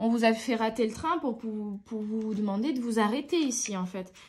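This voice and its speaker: Somewhat breathy, a woman of fairly high pitch speaks at a moderate pace with ordinary pitch variation. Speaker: tarot card reader. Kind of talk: tarot reading. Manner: hesitant with fillers.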